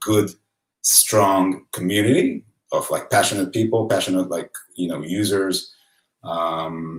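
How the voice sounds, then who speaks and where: A man with an Israeli accent speaks at a moderate pace in a fairly low voice. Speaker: photographer and author. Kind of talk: live-streamed presentation. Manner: hesitant, many fillers.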